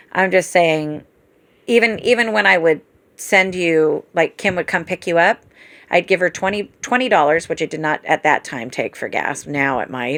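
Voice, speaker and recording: A woman with an ordinary speaking voice and a fairly low pitch talks at a moderate pace with lively intonation, on a very clean recording with a silent background. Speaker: family caregiver. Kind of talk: casual chat.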